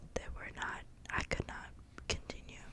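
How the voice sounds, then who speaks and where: Noticeable background noise accompanies a woman's whisper. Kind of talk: casual talk to camera. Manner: whispered.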